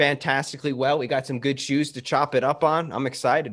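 An ordinary speaking voice from a man, fairly high in pitch, at a fairly quick pace with fairly even intonation. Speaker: podcast co-host. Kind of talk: casual banter, sneaker talk.

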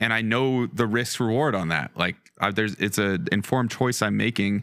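In a very clean recording with a silent background, a man with an American accent talks at a moderate pace in a normal speaking voice, fairly low in pitch with ordinary pitch variation. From Colorado. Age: 20s. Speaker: winemaker. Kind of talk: casual chat.

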